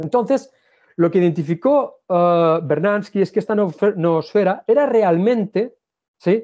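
At a very slow pace, a man talks with a high pitch, ordinary pitch variation and very even loudness. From Spain, Catalonia (Ebro delta). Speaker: geologist and visiting professor. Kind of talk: lecture. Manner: halting.

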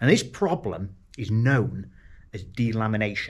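A man speaks in a somewhat breathy voice with ordinary pitch variation. The background is quiet. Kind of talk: casual vlog chat. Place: workshop. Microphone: phone near.

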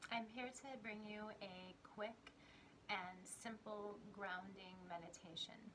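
Soft-spoken and calm in tone, a woman talks at a very slow pace with fairly even intonation over noticeable background noise. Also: medium pitch for a woman. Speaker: spiritual teacher and meditation guide. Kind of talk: guided grounding meditation with breathing and visualization cues. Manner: slow, soothing, gently instructive pacing with repeated 'and' transitions; calm, reassuring, softly encouraging tone. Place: home room.

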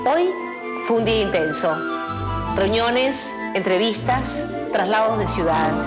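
Loud music plays in the background as a woman talks at a fairly slow pace. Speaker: actress in commercial. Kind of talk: TV commercial read. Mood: relaxed, warm.

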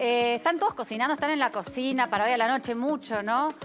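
Someone talks at a very fast pace over clear music in the background. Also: woman. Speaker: TV show host. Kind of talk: host monologue to camera. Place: studio.

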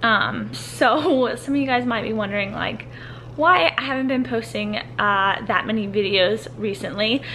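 A woman's voice with music in the background. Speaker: vlogger. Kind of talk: casual vlog chat. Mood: reflective, slightly emotional. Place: home room. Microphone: phone near.

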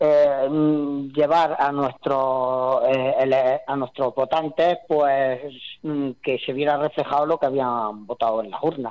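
A man's fairly high-pitched voice at a very slow pace, with fairly even intonation. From Spain, Andalusia (Jaén). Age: 40s. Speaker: mayor. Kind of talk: interview. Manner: halting.

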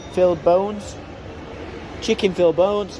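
A man with a high voice is heard over light background noise. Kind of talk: casual product walkthrough. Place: market. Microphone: phone near.

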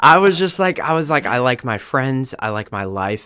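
A man with a bright, sharp tone speaks at a moderate pace in a dry sound with no echo. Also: quiet background. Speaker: podcast guest. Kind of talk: interview answer. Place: studio. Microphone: studio mic.

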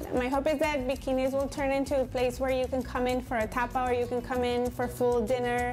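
Over faint music in the background, a high-pitched woman talks fairly quickly with hardly any pauses, very even loudness and a monotone, flat intonation. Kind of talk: interview answer. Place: cafe.

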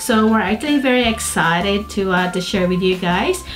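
A woman's voice at a moderate pace, with clear music in the background. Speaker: vlogger. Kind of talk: casual vlog chat. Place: home room.

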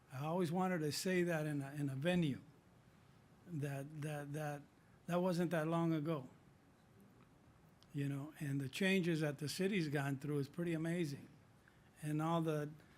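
Pausing long and often, a man with an American accent talks at a moderate pace in a fairly high pitch, his intonation monotone and flat, with audible echo from the room. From Southern California. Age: 60s. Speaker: city council member. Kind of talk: council meeting remarks. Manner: halting.

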